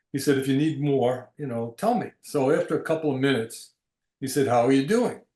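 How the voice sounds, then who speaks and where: Speaking at a fairly quick pace, a man has a fairly high pitch and a dark, mellow tone. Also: ordinary pitch variation. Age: 80s+. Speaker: retired doctor and psychedelic therapy practitioner. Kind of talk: casual chat. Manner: halting.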